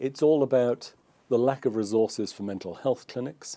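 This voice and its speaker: A man with a British accent has a dark, mellow tone and ordinary pitch variation at a moderate pace. The recording is very clean, with a silent background. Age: 70s. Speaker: former journalist, commentator. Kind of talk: interview.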